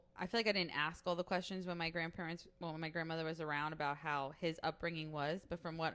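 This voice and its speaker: A woman's fairly low voice with an American accent. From Staten Island, New York City. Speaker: podcast guest, host's college friend. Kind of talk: casual chat.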